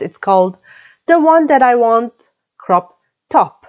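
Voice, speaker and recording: A woman with a Croatian accent at a moderate pace. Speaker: knitting vlogger. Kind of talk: casual vlog talk. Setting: home, under the roof. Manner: halting, many fillers.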